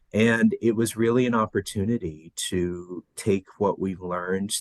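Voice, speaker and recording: An American-accented man speaks with fairly even intonation in a dry, close sound with no echo. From Los Angeles, US. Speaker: education director. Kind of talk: podcast interview.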